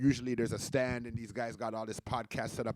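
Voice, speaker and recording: Recorded very cleanly with a silent background and a dry, close sound with no echo, a man speaks at a medium pitch in an animated tone. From Canada, with Jamaican roots. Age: 40s. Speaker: podcaster and DJ. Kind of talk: casual livestream monologue. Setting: home DJ setup, livestream.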